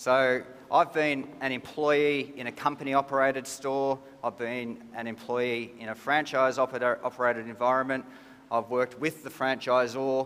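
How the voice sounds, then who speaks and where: A man with an Australian accent, medium pitch, monotone, flat intonation and a moderate pace. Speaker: business executive. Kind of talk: conference presentation. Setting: stage with audience.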